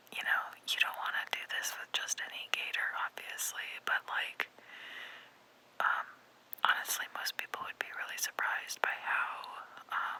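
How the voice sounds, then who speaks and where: Whispering in an American accent, a woman speaks at a moderate pace with long, frequent pauses and noticeable background noise. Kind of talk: ASMR whispered ramble voiceover. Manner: whispered, soft, casual, rambling.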